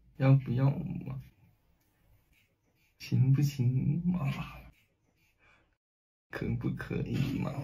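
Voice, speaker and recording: Using a put-on character voice, a man speaks very slowly at a medium pitch, raspy and with long, frequent pauses. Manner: cute, coy, pleading.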